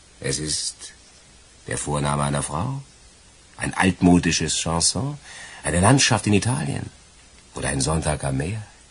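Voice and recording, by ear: A man's put-on character voice, extremely low and husky with a rough edge, with lively intonation, a fairly slow pace and long, frequent pauses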